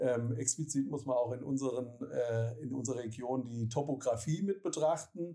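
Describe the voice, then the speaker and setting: Medium in pitch, a man speaks at a moderate pace with ordinary pitch variation. His voice has a dark, mellow tone and is somewhat breathy. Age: 40s. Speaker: city administration mobility officer. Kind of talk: interview. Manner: hesitant with many filler sounds.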